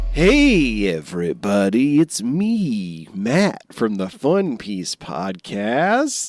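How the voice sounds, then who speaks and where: A man speaking at a very slow pace with hardly any pauses. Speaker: podcast co-host. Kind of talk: casual chat. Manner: put-on radio DJ voice in intro.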